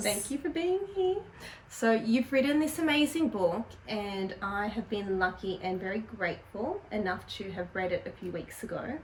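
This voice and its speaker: Over noticeable background noise, a woman with a fairly high pitch talks at a moderate pace, her voice making very wide pitch swings. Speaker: interview host. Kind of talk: interviewer questions.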